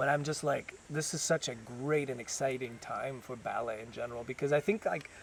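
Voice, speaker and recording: A somewhat breathy man's voice at medium pitch, fairly quick, with ordinary pitch variation and hardly any pauses. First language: French. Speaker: ballet dancer. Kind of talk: casual interview. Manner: halting, many restarts.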